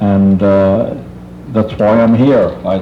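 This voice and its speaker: A man with a fairly low voice and an American accent is heard amid noticeable background noise and audible room echo. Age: 80s+. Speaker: tree service owner, public commenter. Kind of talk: public comment at council meeting. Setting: township committee meeting. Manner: halting.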